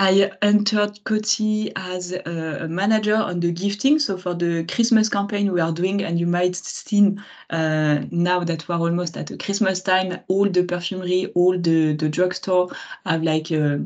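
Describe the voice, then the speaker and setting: With a French accent, a woman speaks at a medium pitch and a moderate pace, using ordinary pitch variation over a quiet background. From France. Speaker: marketing manager. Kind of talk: webinar talk. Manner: hesitant, many fillers.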